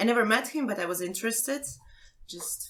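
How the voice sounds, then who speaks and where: Here is a woman speaking. She has a Ukrainian accent. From Ukraine. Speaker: amateur theatre actress. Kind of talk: casual chat.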